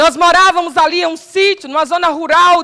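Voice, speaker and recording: A woman's raised, projected voice in a Paraíba accent, bright and sharp in tone, fairly quick, with fairly even intonation. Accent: Paraíba northeastern Brazilian. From Paraíba, Brazilian Northeast. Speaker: preacher. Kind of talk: sermon.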